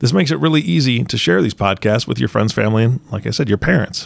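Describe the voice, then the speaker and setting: A man with vocal fry and a fairly low pitch, very wide pitch swings, and a very fast pace. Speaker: co-host interviewer. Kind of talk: casual interview.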